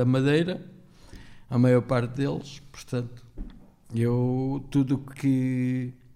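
A man's dark, mellow, medium-pitched monotone, flat in intonation and very slow, with audible room echo. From Portugal (born in Angola, arrived at about eight). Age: 50s. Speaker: podcast guest, former café owner. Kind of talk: casual chat.

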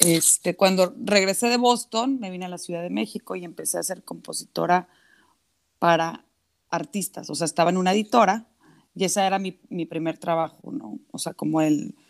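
A woman in an ordinary speaking voice, with lively intonation and big swings in loudness. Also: fairly low pitch for a woman, moderate pace. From Mexico, Monterrey (Nuevo León). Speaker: singer-songwriter. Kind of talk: casual interview.

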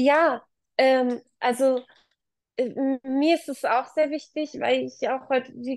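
Very slowly, a woman speaks in a high voice. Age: 30s. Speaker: working mother and manager. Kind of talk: interview. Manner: halting.

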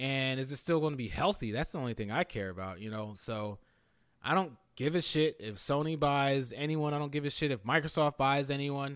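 Over a silent background in a very clean recording, a man with an American accent and an ordinary speaking voice talks at a fairly quick pace, his fairly high pitch showing ordinary variation. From Philadelphia area, Pennsylvania. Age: 30s. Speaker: gaming podcast host. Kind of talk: casual chat.

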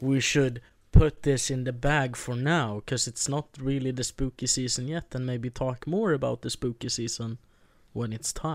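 Against a silent background in a very clean recording, a man with a Swedish accent speaks at a moderate pace with fairly even intonation. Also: medium pitch for a man. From Sweden. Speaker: podcast co-host. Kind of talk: casual chat.

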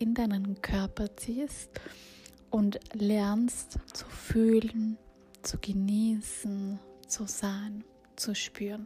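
A very slow, gentle, soothing delivery with monotone, flat intonation and noticeable background noise. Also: woman. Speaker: meditation guide. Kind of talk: guided meditation. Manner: slow, soothing, calm; gentle, intimate, with pauses.

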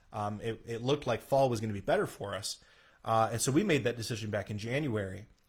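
The man talks at a very fast pace with medium pitch, ordinary pitch variation and a somewhat breathy quality. The recording is very clean, with a silent background. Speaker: pastor. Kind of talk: casual chat. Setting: live stream.

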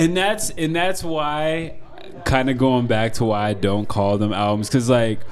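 Lively intonation from a man with an American accent, music in the background. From Denver, Colorado, US. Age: 20s. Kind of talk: casual interview conversation. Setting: in a wine bar.

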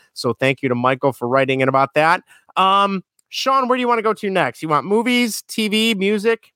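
A man speaks in a raised, projected voice, high-pitched with a bright, sharp tone. His pitch swings very widely at a fairly quick pace, and the sound is dry and close with no echo. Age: 30s. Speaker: podcast host. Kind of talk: casual chat.

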